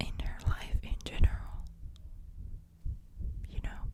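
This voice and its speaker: A woman speaks in a whisper. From Finland. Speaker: ASMR creator. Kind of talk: close-up whispered ASMR talk to camera. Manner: whispered, soft-spoken, relaxing.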